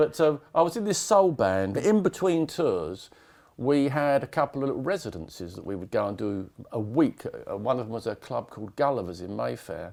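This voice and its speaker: Speaking at a fairly quick pace with an English accent, a man swings his pitch very widely and his loudness sharply. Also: medium pitch for a man. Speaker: rock drummer. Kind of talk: casual interview.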